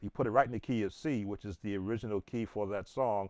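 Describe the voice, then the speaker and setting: A man talks at a fairly quick pace in an unremarkable speaking voice with a fairly low pitch. The background is quiet. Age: 60s. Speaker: gospel piano teacher and church musician. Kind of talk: informal tutorial chat. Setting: livestream while playing piano.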